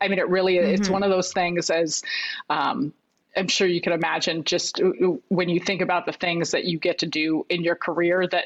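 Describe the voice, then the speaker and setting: A woman talks in an ordinary speaking voice with an American accent. Her pitch is fairly low and her intonation fairly even. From US Midwest, Chicago. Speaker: basketball analyst. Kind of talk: casual chat.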